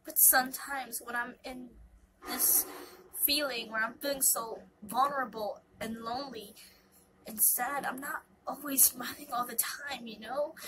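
Over noticeable background noise, a woman with a high pitch speaks with fairly even intonation, long, frequent pauses and big swings in loudness. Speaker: YouTube vlogger. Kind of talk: casual personal vlog monologue. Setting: at home, recording to camera. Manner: hesitant, many fillers, rambling; deliberately not fast.

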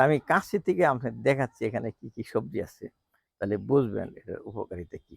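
The man's voice swings widely in loudness, with a dry, close sound and no echo. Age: 60s. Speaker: home gardener, doctor. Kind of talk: garden tour vlog. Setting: outdoors on rooftop garden. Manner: casual, halting.

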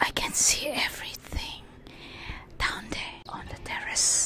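A whispering woman at a very slow pace. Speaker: ASMR creator. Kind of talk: casual ASMR talk to camera. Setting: outdoors. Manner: whispered. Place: garden. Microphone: handheld.

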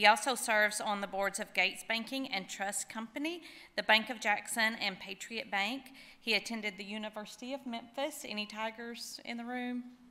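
A woman speaks at a moderate pace with a bright, sharp tone. Her pitch is fairly high and her intonation fairly even. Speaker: event emcee. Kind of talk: speaker introduction. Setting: stage with audience. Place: hall. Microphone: podium.

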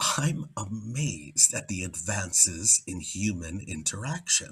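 Speaking very slowly at a fairly low pitch, a man swings very widely in pitch against a quiet background. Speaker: actor. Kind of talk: poetry reading. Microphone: webcam.

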